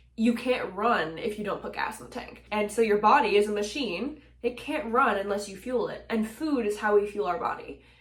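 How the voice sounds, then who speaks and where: Fairly high-pitched woman at a moderate pace, ordinary pitch variation, big swings in loudness, hardly any pauses, noticeable background noise. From Nova Scotia, Canada. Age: 20s. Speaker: singer-songwriter, mental health advocate. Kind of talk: casual talk to camera.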